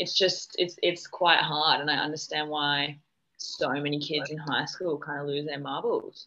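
At a moderate pace, a woman talks with an Australian accent. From Western Australia, Perth. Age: 20s. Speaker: podcast guest, former model. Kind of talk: casual chat. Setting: remote call.

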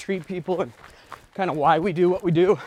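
With an American accent, a man talks at a fairly quick pace in a high voice with ordinary pitch variation. Noticeable background noise is present. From rural Utah. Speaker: realtor and running podcast host. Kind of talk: casual chat on a trail run. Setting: outdoors on a trail.

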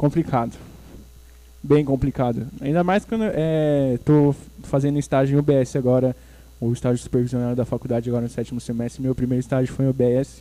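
A man's dark, mellow voice of medium pitch, fairly quick, with fairly even intonation. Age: 20s. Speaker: nursing student and podcast host. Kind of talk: casual chat. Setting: church.

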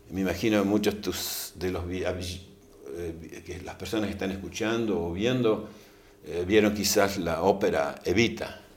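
Amid noticeable background noise and audible room echo, a man speaks at a fairly slow pace with a fairly low pitch and fairly even intonation. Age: 60s. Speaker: think tank scholar on liberty. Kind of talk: interview. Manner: hesitant with frequent fillers.

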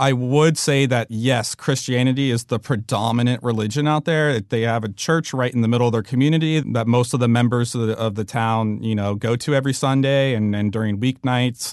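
A man's fairly quick delivery with hardly any pauses, fairly even intonation and very even loudness, over a quiet background. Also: medium pitch for a man. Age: 30s. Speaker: documentary director. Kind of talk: interview. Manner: similar to his brother's voice.

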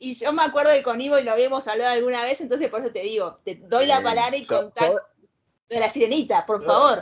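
A woman with a Rioplatense accent, high pitch, animated tone, ordinary pitch variation and a very fast pace. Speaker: podcast host. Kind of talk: casual chat.

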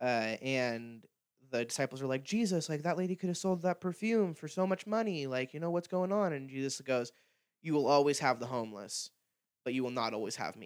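Fairly quick and fairly high, a man's voice carries lively intonation. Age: 20s. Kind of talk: casual chat. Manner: fast.

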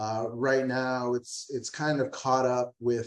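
Using a normal speaking voice, a man with an American accent talks at a moderate pace with fairly even intonation. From Texas, San Antonio. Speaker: brewery executive. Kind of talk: interview.

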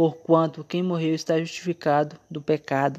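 Against a quiet background, a man talks at a moderate pace. His pitch is fairly high and his tone dark and mellow. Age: 20s. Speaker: Adventist devotional podcaster. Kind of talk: devotional Bible talk. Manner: halting, many fillers.

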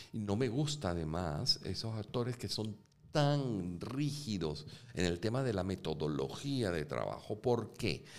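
A man at a fairly slow pace, fairly low in pitch, with very wide pitch swings. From Venezuela (Caracas). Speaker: actor and film director. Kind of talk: interview conversation. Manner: halting, repeats words.

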